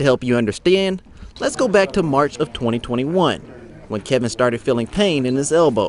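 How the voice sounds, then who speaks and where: Fairly quick and with lively intonation, a man talks in an unremarkable speaking voice. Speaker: sports anchor. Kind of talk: TV news feature story narration.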